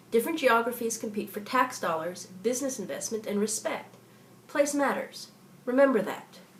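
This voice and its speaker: Over noticeable background noise, a woman with an American accent speaks at a moderate pace in a fairly high pitch with lively intonation. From US South, southeastern Kentucky. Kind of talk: scripted narration.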